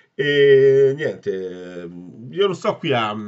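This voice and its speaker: A man is speaking. The background is quiet. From Italy. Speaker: football fan vlogger. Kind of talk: angry rant. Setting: solo home video. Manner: ranting, agitated, swearing and repeating himself; opinionated, casual and blunt, addressing viewers. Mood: frustrated, disappointed fan. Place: home room. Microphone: phone near.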